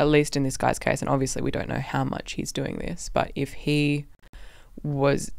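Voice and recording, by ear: Speaking with vocal fry, a woman uses an extremely low pitch.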